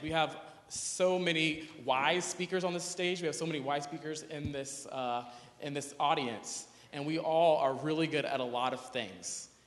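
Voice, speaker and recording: At a moderate pace and with ordinary pitch variation, the voice carries audible room echo over noticeable background noise. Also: man, fairly high pitch for a man. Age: 20s. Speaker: youth activist, conference speaker. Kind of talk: conference talk. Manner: casual, hesitant with fillers.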